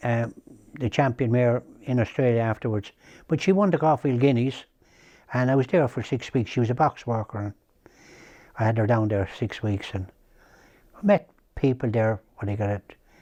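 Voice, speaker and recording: Against a quiet background, the voice has a dark, mellow tone, moving at a moderate pace with ordinary pitch variation and long, frequent pauses. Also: man, medium pitch for a man. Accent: Irish. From Ireland, County Kildare. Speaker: racehorse trainer. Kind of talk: interview reminiscence. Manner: halting.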